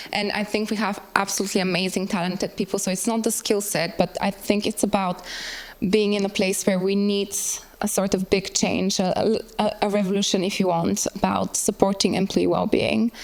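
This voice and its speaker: With a Bulgarian accent, a woman speaks at a moderate pace in a medium pitch, her intonation monotone and flat, against noticeable background noise. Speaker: workplace well-being designer. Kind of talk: panel talk presentation.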